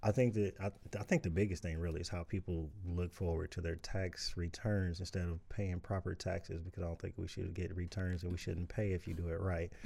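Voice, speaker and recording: The voice has a dark, mellow tone, an American accent and a somewhat breathy quality, with monotone, flat intonation. It moves at a fairly quick pace with hardly any pauses on a very clean recording with a silent background. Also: man, very deep, low pitch for a man. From Indianapolis, Indiana (US Midwest). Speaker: voter interviewed on politics. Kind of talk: casual interview. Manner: hesitant, many fillers.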